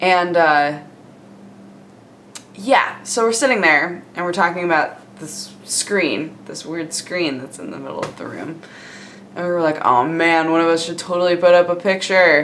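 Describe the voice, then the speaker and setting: A woman with a fairly low voice speaks at a fairly slow pace with long, frequent pauses and an upbeat tone. Her pitch varies in an ordinary way, her loudness swings widely, and there is noticeable background noise. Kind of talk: casual vlog talk to camera. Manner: casual, chatty, upbeat.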